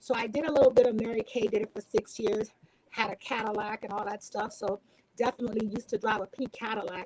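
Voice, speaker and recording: A woman with a Haitian accent talks at a very fast pace and a fairly high pitch, with fairly even intonation and a dry, close sound with no echo. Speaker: entrepreneur and sales professional. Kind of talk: casual chat. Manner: halting.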